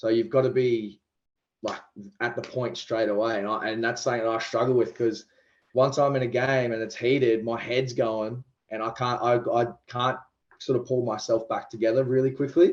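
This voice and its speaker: With an Australian accent, a man speaks at a moderate pace and medium pitch in a monotone, flat intonation. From Queensland, Australia (Toowoomba). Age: 20s. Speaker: professional rugby league player. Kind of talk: podcast interview. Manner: talkative.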